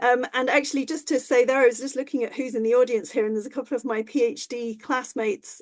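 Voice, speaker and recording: In an English accent, a woman talks at a fairly quick pace with a fairly high pitch. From rural England. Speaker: professor of ecology. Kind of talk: lecture. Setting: online talk. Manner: halting.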